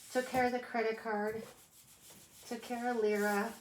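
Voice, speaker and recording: A woman speaks at a moderate pace in a fairly high, somewhat breathy voice with monotone, flat intonation. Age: 50s. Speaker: lifestyle vlogger. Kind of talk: casual chat.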